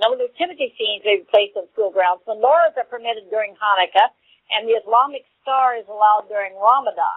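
A woman speaks very fast with a Southern US accent. Her pitch is fairly high, with ordinary variation. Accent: Southern American. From US South. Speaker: radio co-host. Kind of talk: internet radio interview.

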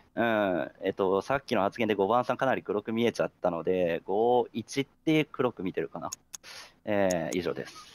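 A man talks at a moderate pace with a fairly low pitch. His pitch varies in an ordinary way, and the sound is dry and close with no echo. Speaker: werewolf game player. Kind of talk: game discussion. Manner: hesitant, filler-heavy.

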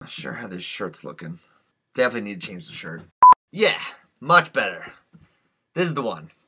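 A fairly quick, bright and sharp delivery with long, frequent pauses, very wide pitch swings, big jumps in loudness, vocal fry and loud background noise. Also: man. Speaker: comedy YouTuber. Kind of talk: blooper reel of takes to camera. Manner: playful, trying different deliveries. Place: home room. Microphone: webcam.

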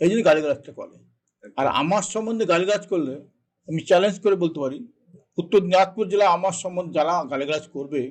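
A man's high-pitched voice with ordinary pitch variation and big swings in loudness. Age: 70s. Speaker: politician. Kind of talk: interview. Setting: studio.

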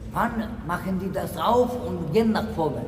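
A man's voice with ordinary pitch variation amid noticeable background noise. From Poland. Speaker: homeless man. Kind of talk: street interview. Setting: outdoors. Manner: halting. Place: station. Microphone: phone near.

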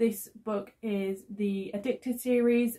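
The voice is somewhat breathy, with a dark, mellow tone and monotone, flat intonation. The background is quiet. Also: woman. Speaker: book vlogger. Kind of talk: casual vlog chat. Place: home room. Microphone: phone near.

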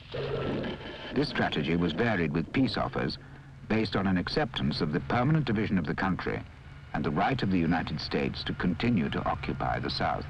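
A man's very deep, low voice at a fairly quick pace, with very wide pitch swings, very even loudness and a solemn tone, over noticeable background noise. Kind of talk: 1960s documentary film narration. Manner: formal, measured, steady newsreel-style delivery; grave and solemn. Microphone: old recording.

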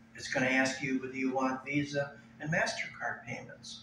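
At a moderate pace, a man speaks with a fairly bright tone as the room echoes audibly.

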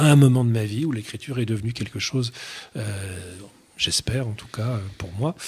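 A man's somewhat breathy voice has ordinary pitch variation. Long pauses come often. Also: medium pitch for a man, moderate pace. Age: 50s. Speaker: writer and doctor; guest. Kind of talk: radio interview. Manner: halting. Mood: thoughtful, measured. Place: studio. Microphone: studio mic.

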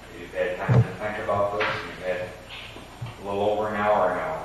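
With loud background noise and audible room echo, a man talks at a fairly quick pace. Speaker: interviewer. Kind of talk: interview questioning. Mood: formal, measured. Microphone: old recording.

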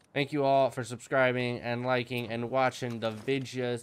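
A robotic male voice comes through over light background noise. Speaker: gaming YouTuber. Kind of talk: gameplay commentary. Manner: deliberately clear, robotic delivery. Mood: grateful, upbeat. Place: home room. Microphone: headset.

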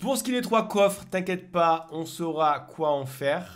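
The pace is fairly slow as a man speaks. His pitch swings very widely. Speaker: gaming youtuber. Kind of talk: gameplay commentary. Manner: casual, lively.

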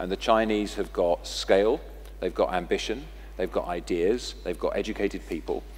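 A man with a British accent at a moderate pace. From England. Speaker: technology company executive. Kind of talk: panel discussion Q&A. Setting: stage with audience. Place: hall. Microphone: headset.

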